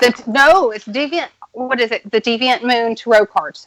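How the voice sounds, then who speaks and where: A woman speaks with a Texas accent, her pitch fairly high with ordinary variation. The sound is dry and close, with no echo. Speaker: tarot reader and occult practitioner. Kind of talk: casual chat.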